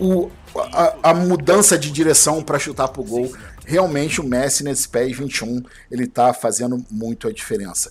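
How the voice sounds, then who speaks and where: A man with an ordinary speaking voice delivers lively intonation at a fairly high pitch and moderate pace. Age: 40s. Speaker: podcast host. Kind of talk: casual chat.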